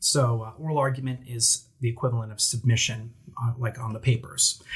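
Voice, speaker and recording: With an American accent, a man talks at a moderate pace in a medium pitch, his voice somewhat breathy. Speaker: attorney. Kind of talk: casual chat. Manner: animated.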